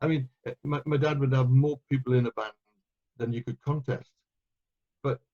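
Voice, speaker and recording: In a Welsh accent, a man speaks at medium pitch with a dark, mellow, somewhat breathy tone and a dry, close sound with no echo. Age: 60s. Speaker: euphonium player and conductor. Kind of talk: interview. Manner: hesitant, repeats words.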